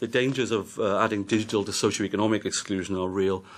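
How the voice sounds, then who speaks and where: A man with a Welsh accent and fairly low pitch, at a very fast pace. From Wales. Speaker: policy adviser and report author. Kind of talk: committee hearing testimony. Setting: parliamentary committee hearing.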